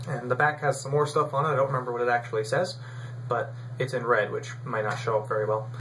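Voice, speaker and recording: A very fast American accent with fairly even intonation. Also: man, medium pitch for a man. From US South, Raleigh, North Carolina. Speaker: vlogger. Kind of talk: casual vlog talk. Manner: casual, with fillers.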